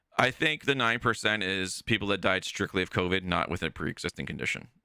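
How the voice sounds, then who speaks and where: A man speaks loudly and very fast, with hardly any pauses, in a very deep, low pitch that makes very wide swings. His tone is bright and sharp with vocal fry, and the sound is dry and close with no echo. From Ontario, Canada (Toronto). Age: 40s. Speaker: live streamer. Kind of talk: casual chat.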